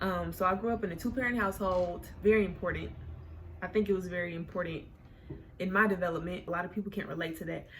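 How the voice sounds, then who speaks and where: A woman with an American accent at medium pitch, talking very fast, with audible room echo. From Oklahoma City, Oklahoma. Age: 20s. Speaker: YouTuber. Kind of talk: casual storytime monologue. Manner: animated, conversational.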